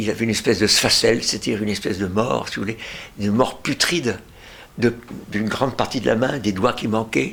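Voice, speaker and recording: With long, frequent pauses, a man talks at a fairly quick pace and ordinary pitch variation amid noticeable background noise. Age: 80s+. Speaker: retired pediatrician. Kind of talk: interview. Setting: at home. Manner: halting.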